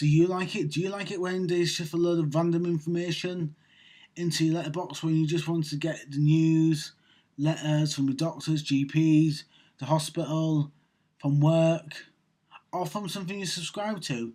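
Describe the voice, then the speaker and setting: A man's fairly high voice with a dark, mellow tone, fairly even intonation and a moderate pace. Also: very clean recording, silent background. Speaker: vlogger. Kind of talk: rant monologue. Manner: speech sometimes hard to understand.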